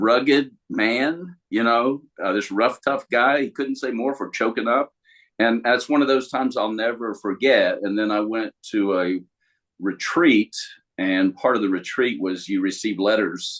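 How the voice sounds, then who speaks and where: Here a man has a normal speaking voice at medium pitch and ordinary pitch variation. He moves at a fairly slow pace. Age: 60s. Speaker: life coach. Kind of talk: casual chat.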